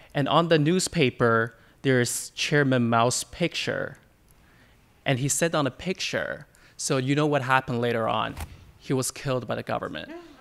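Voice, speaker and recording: Medium-pitched male voice with a Chinese accent, moderate pace and ordinary pitch variation, on a very clean recording with a silent background. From China. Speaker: audience member. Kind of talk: audience question.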